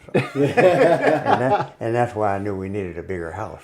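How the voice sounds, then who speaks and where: Noticeable background noise sits behind a man speaking at a fairly low pitch and a moderate pace. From Compton, California. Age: 80s+. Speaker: businessman, Korean War veteran. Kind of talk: podcast interview answer.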